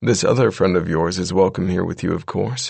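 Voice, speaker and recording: A man's raspy put-on character voice, very deep and low, at a fairly quick pace. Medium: read story. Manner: measured, courtly.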